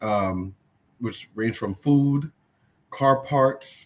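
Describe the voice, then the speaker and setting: This man talks with a Trinidadian accent. His medium pitch shows ordinary variation. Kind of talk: casual chat.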